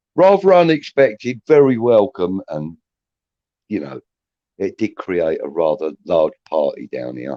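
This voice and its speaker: A man at a fairly slow pace with big swings in loudness, in a dry, close sound with no echo. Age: 60s. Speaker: football fan. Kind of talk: casual chat.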